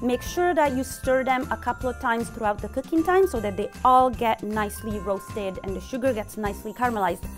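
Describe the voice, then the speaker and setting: Clear music plays in the background. Over it, a woman speaks. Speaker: chef instructor. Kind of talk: tutorial. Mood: warm, cheerful. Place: kitchen.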